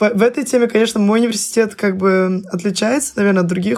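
A woman's very fast speech with ordinary pitch variation. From Russia, Saint Petersburg. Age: 20s. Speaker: university student. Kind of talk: casual chat.

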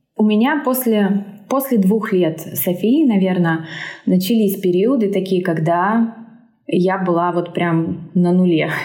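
A woman speaks very slowly at medium pitch with ordinary pitch variation and very even loudness. Audible room echo surrounds her voice. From Siberia, Omsk. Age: 30s. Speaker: English teacher and mother. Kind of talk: casual interview.

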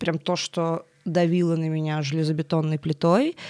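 A woman with a very deep, low voice speaks in a monotone, flat way, the sound dry and close with no echo on a very clean recording with a silent background. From Russia, Tolyatti. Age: 20s. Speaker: media and design executive. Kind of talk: interview.

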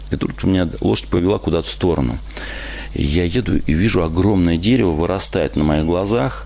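Over noticeable background noise, a man with a very deep, low pitch speaks at a moderate pace with very wide pitch swings. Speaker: radio host. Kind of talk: live radio call-in show. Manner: animated.

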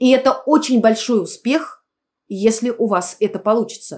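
A woman with a normal speaking voice, fairly high in pitch, talks at a moderate pace. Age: 50s. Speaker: clinical psychologist. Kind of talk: interview. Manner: formal.

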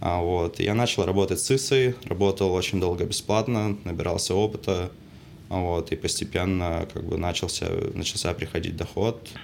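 Against noticeable background noise, a man with a very deep, low voice speaks at a moderate pace with ordinary pitch variation. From Saint Petersburg, Russia. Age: 20s. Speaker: film crew technician. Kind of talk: casual chat.

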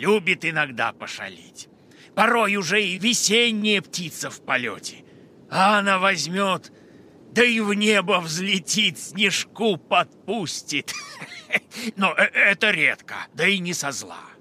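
A man with a high voice speaks in a raised, projected way at a fairly slow pace. His loudness swings widely, and he takes long, frequent pauses. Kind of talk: children's radio play.

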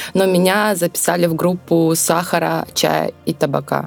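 Noticeable background noise is present. A woman talks in a fairly low pitch. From southern Russia, Rostov region. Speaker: winemaker. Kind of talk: interview conversation.

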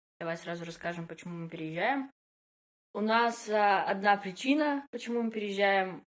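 Her medium pitch paired with lively intonation and big swings in loudness, a woman talks at a moderate pace in an unremarkable speaking voice. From Russia, Yekaterinburg (Urals). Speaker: podcast co-host, product manager. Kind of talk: casual chat.

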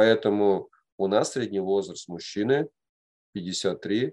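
A man's fairly low voice at a very slow pace, against a quiet background. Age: 40s. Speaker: men's group facilitator. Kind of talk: lecture.

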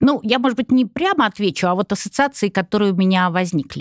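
A woman in an ordinary speaking voice talks at a fairly quick pace with lively intonation, in a very clean recording with a silent background and a dry, close sound with no echo. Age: 60s. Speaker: psychologist and business consultant. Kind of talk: casual chat.

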